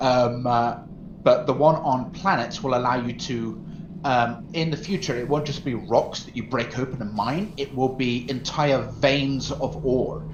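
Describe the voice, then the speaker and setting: A man talks at a fairly slow pace with medium pitch and ordinary pitch variation, and audible room echo surrounds him. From English Midlands, Mansfield, Nottinghamshire; later Norfolk. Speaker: gaming streamer. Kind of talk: casual chat.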